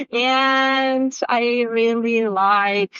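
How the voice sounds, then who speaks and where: The speaker is a woman. She has a Polish accent. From Poland. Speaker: software developer. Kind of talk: interview. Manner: halting.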